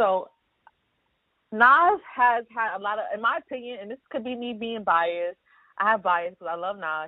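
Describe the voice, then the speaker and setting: With a Brooklyn accent, a woman talks at a fairly quick pace in an animated tone with lively intonation. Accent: New York (Brooklyn). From New York City, Brooklyn. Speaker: social worker and urban historian. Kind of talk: casual chat.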